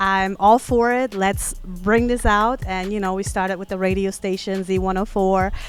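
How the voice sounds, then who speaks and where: Over music in the background, a woman with a slight German accent speaks at a moderate pace and medium pitch, with fairly even intonation and hardly any pauses. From Germany. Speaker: show organizer. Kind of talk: casual interview.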